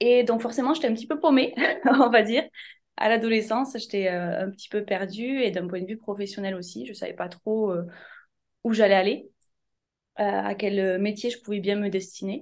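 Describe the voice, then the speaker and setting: A woman speaks at a moderate pace in a fairly high voice with ordinary pitch variation, over a quiet background. Her loudness swings widely, with long, frequent pauses. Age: 30s. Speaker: essential oils wellness consultant. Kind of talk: interview.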